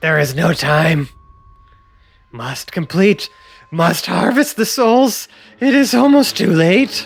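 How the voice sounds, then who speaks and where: In a put-on character voice, a man speaks high and fairly slowly, his pitch swinging very widely and his delivery broken by long, frequent pauses. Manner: menacing, urgent.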